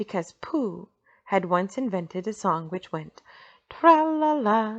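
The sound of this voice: With a quiet background behind it, the lively intonation of an unforced reading voice is easy to follow.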